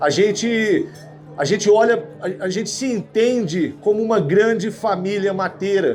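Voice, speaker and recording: Music plays behind a man speaking in a Minas Gerais accent at a fairly slow pace. His high voice has an animated tone and ordinary pitch variation. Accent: Minas Gerais (mineiro). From Brazil, Minas Gerais. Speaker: survival instructor. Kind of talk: lecture.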